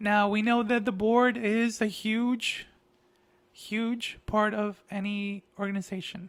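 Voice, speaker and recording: A man's high voice in a Spanish accent, monotone and flat in intonation, at a very slow pace. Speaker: artist and grant writing consultant. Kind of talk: casual monologue.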